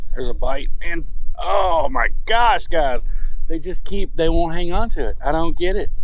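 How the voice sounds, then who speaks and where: The sound is dry and free of echo. A man speaks at a moderate pace. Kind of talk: casual vlog chat. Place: boat. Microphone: camera far.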